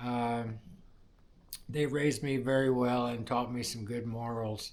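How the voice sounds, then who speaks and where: A man with an American accent speaks at a fairly slow pace in a medium-pitched, monotone, flat voice, with audible room echo. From US Midwest, Indiana. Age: 60s. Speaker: welder sharing personal testimony. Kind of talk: testimony. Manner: halting, many fillers.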